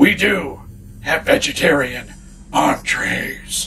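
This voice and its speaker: Over clear background noise, a man puts on a raspy character voice and speaks at a very slow pace. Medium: comedy sketch. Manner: formal, deadpan.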